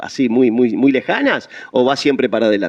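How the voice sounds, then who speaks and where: A man with a Rioplatense accent. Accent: Argentine Rioplatense Spanish. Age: old. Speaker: radio host. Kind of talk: radio interview. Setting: studio.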